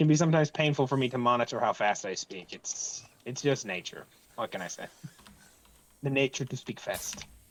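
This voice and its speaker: A man's medium-pitched voice with long, frequent pauses. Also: ordinary pitch variation, fairly quick pace. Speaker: gaming youtuber. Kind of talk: casual chat. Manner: fast.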